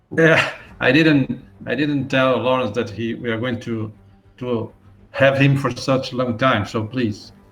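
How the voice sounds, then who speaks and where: Over music in the background, the speaker moves at a fairly slow pace with fairly even intonation and long, frequent pauses. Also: man, medium pitch for a man. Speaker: webinar host. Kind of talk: webinar interview. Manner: halting.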